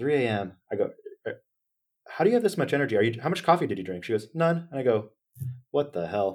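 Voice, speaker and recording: A man with an American accent and fairly high pitch, talking very fast with very wide pitch swings and long, frequent pauses. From Northern California. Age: 20s. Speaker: company founder. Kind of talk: interview. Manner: animated.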